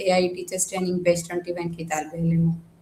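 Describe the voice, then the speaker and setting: Monotone, flat intonation in a Sindhi accent. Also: woman. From Pakistan, Hyderabad, Sindh. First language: Sindhi (speaking Hindi). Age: 20s. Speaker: trainee teacher, housewife. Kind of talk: interview. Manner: hesitant, many fillers.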